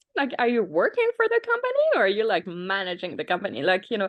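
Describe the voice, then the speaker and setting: The speaker is a woman with a French accent. She talks at a moderate pace. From France. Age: 30s. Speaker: tech startup founder. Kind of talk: interview.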